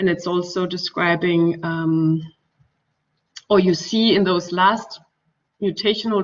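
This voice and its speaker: The woman's fairly low-pitched voice stays monotone and flat throughout. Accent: German. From Denmark. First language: Danish. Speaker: architect and researcher. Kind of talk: lecture. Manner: halting, many fillers.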